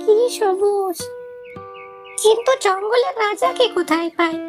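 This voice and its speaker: A cartoonish character voice speaks at an extremely high pitch and a fairly slow pace. Clear music plays in the background. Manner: polite, pleading.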